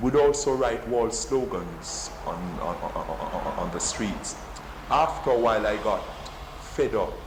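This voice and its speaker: Recorded with noticeable background noise and audible room echo, a man with a Jamaican accent speaks at a fairly slow pace. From Jamaica, Kingston. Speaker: poet. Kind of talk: interview. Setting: office. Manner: halting, repeats words.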